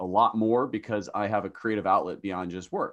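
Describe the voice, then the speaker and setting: A man with a fairly low pitch and an ordinary speaking voice, at a moderate pace. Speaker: podcast host. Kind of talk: casual interview. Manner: joking, playful.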